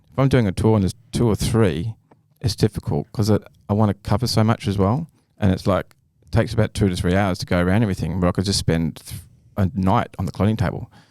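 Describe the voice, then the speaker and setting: Talking very fast with an Australian accent, a man has a fairly low pitch, ordinary pitch variation, and a dark, mellow tone. The sound is dry and close with no echo. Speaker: artist and inventor. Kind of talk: casual chat. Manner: halting.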